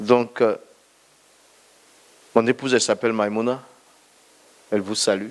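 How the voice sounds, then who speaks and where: A man talks at a moderate pace and a medium pitch. His intonation stays monotone and flat, broken by long, frequent pauses. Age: 60s. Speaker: pastor. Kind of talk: testimony.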